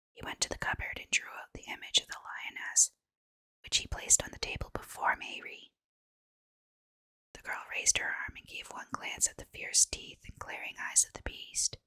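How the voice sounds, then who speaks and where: Whispering at a moderate pace, the voice swings widely in loudness, with a dry, close sound and no echo. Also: woman. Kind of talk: whispered sleep story reading. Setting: ASMR bedtime reading. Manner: whispered, soft.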